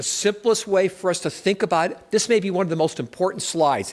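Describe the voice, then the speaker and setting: A man talks at a very fast pace with vocal fry and an American accent. The recording is very clean, with a silent background. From US, New York. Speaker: political analyst, conference speaker. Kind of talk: conference presentation.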